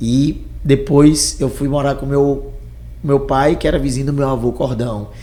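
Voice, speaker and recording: A man's fairly slow speech comes with audible room echo and noticeable background noise. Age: young. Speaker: entrepreneur. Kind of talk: interview.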